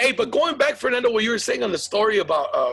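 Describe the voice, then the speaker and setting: Over music in the background, a man uses a raised, projected voice at a very fast pace, with very wide pitch swings. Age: 40s. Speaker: podcast host and comedian. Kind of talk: casual chat.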